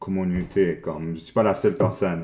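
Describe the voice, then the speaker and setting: This man has a very deep, low voice. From Montreal, Quebec. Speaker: agency co-founder, art director. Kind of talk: casual interview. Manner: halting, many repetitions.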